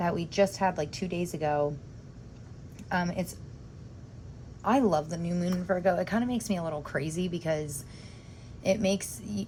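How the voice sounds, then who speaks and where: At a moderate pace, a woman speaks in a fairly low, dark and mellow, somewhat breathy voice with ordinary pitch variation and long, frequent pauses. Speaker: tarot reader. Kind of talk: tarot reading video. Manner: halting, stumbling over words; casual, chatty.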